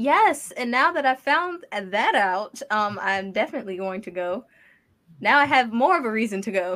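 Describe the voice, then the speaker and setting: At a moderate pace, a woman with a fairly high pitch and a bright, sharp tone speaks with very wide pitch swings. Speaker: designer. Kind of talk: casual chat. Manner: laughs often.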